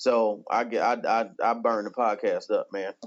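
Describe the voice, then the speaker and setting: This man has an American accent and a medium-pitched voice. The background is quiet. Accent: country twang. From rural eastern North Carolina. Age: 30s. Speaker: pastor. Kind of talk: testimony.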